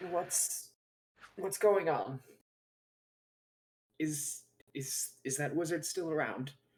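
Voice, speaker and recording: A raspy put-on character voice at a middle pitch, very slow pace, with long, frequent pauses. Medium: actual play. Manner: hesitant, stammering.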